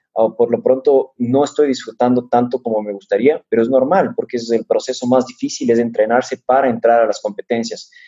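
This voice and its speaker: A man talking at a fairly quick pace with hardly any pauses. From Ecuador. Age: 30s. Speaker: mountain runner. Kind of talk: interview.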